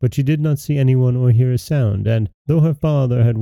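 The text gets plain reading aloud. Pitch variation is ordinary, and the surroundings are quiet.

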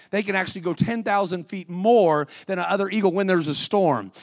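This man's voice is high-pitched and animated in tone. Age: 60s. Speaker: guest preacher. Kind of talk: sermon. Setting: church.

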